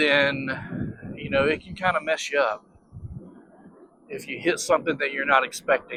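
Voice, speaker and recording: Big swings in loudness, ordinary pitch variation and long, frequent pauses, over noticeable background noise. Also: man, fairly high pitch for a man, moderate pace. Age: 50s. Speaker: electric unicycle reviewer. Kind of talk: casual ride-along review vlog. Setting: outdoors riding on roads. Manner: casual with frequent fillers.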